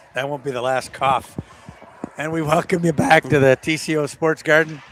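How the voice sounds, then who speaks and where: A man talks at a moderate pace in a fairly high pitch. Noticeable background noise runs underneath. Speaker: high school hockey play-by-play announcer. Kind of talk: live commentary. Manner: animated.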